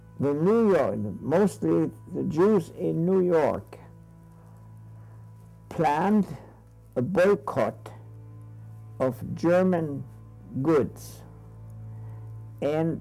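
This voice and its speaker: A man's speech moves very slowly. Behind him, there is music. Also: long, frequent pauses. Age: 80s+. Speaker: Holocaust survivor; retired psychology professor. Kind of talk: interview answer.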